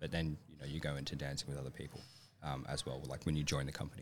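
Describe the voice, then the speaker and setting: With an Australian accent and vocal fry, a man talks at a very fast pace in an energetic tone. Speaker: professional ballet dancer. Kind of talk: casual chat. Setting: studio.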